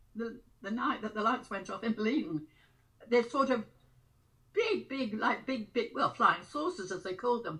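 The background is quiet. A woman speaks in a high, bright, sharp voice. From Wiltshire, England. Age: 80s+. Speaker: grandmother telling memories. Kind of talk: interview answer. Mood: animated, reminiscing. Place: home room. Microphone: webcam.

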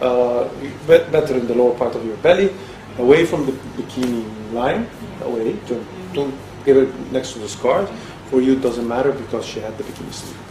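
Over music in the background, the speech moves at a fairly quick pace with big swings in loudness and ordinary pitch variation. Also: man. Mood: friendly, reassuring. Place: office. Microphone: camera far.

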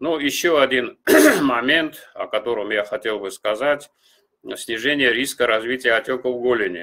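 A man's tone comes across bright and sharp, with quiet all around. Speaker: cardiology professor. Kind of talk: lecture. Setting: video call. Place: home room. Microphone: webcam.

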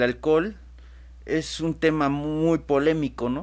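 Very slowly, a man with a fairly high pitch speaks. The recording is very clean with a silent background. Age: 20s. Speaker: radio host, AA member, law graduate. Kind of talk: casual talk show discussion. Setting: studio. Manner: halting, repeats words.

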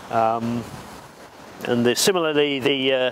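Light background noise is present. The speech moves at a fairly slow pace with ordinary pitch variation. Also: man. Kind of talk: explanatory walkthrough. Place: open country. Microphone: lapel.

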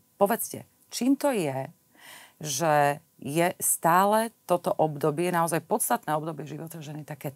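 A woman talks at a moderate pace in a very deep, low voice. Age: 50s. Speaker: podcast host. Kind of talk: interview. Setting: recording in an arts venue. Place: studio. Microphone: lapel.

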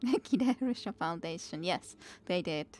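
This woman's voice sits fairly low in pitch, with a slightly mellow tone. Her pitch moves in an ordinary way.

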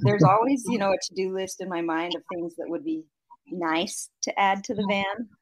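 A woman with an American accent speaks at a medium pitch in an ordinary speaking voice. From Idaho. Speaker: van-travelling mother and social media creator. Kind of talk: casual interview chat.

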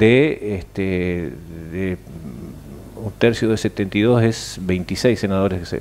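Light background noise sits behind a man whose pitch variation is ordinary. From Argentina. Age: 60s. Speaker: senator. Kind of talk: interview. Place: studio. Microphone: headset.

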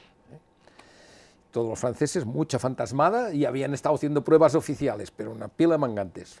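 Lively intonation and vocal fry at a fairly quick pace, with big swings in loudness. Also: man, fairly high pitch for a man. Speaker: retired rally driver; interviewee. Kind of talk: interview storytelling. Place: home room. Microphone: lapel.

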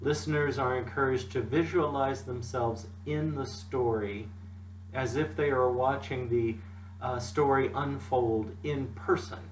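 A man talks at a fairly slow pace. Light background noise and audible room echo fill the recording. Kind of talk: devotional talk. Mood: calm, gentle. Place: home room. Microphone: webcam.

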